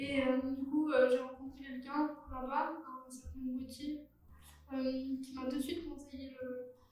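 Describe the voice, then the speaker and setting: A woman talks at a moderate pace in a high pitch, with monotone, flat intonation. Room echo is audible. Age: 20s. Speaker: wheelchair athlete and civic service volunteer. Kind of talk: personal testimony interview. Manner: hesitant, many fillers and repetitions.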